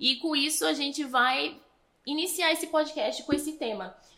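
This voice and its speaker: This woman's high-pitched voice is raised and projected, with a bright, sharp tone. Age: 20s. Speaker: podcast host and missions school leader. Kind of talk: casual interview.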